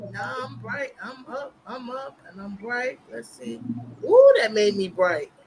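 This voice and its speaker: With an American accent, the speaker talks at a fairly slow pace over noticeable background noise. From Boston. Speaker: live talk show host. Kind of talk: casual chat. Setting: live stream on StreamYard.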